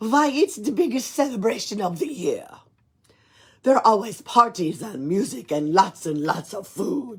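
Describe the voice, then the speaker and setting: Putting on a gruff character voice, a woman speaks at a moderate pace with a fairly high pitch, very wide pitch swings and big swings in loudness. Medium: read story. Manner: hearty, chuckling.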